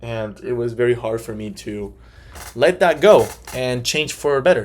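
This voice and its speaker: Medium pitch in a man's speaking voice. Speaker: life insurance salesman. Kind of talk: class presentation. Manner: halting.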